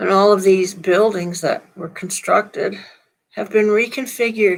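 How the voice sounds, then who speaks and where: A woman's voice with fairly even intonation. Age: 70s. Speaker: minister. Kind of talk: sermon. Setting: live stream from laptop. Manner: casual, conversational.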